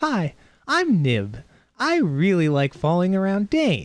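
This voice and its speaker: The pace is fairly slow. A put-on character voice does the talking. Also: man, high pitch for a man. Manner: lighthearted.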